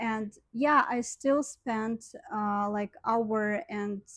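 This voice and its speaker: A woman speaks at a fairly high pitch, somewhat breathy, with ordinary pitch variation, in a very clean recording with a silent background and a dry, close sound with no echo. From Ukraine. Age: young. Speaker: vlogger. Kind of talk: casual vlog talk. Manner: hesitant, many fillers.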